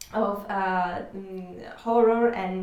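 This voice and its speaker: A woman with an Italian accent speaks with ordinary pitch variation amid noticeable background noise and audible room echo. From Italy. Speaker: comic book artist and art teacher. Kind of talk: live-stream tutorial. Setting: live stream from home. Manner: halting, many fillers.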